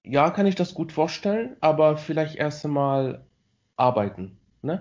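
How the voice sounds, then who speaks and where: With lively intonation, a man with a fairly high voice speaks at a fairly slow pace. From Morocco. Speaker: student. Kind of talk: casual interview chat. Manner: halting.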